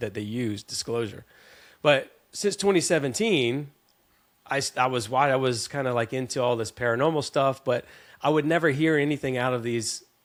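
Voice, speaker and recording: On a very clean recording with a silent background, a man with a Southern US accent speaks at a fairly quick pace in a medium pitch with ordinary pitch variation. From US South, South Carolina. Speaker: podcast guest. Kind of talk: casual chat. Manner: animated.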